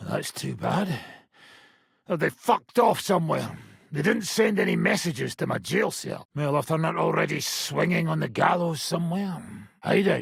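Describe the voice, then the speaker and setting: A put-on character voice from a man, gruff and high-pitched, at a moderate pace. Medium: video game. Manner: profane, gruff, laughing.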